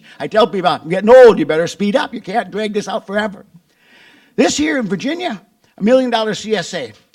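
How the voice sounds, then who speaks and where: In an Upper Midwest US accent, the speaker races along at a very fast pace with lively intonation. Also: man. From Wisconsin. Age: 70s. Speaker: farmer and agricultural business founder. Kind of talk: conference presentation. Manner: conversational.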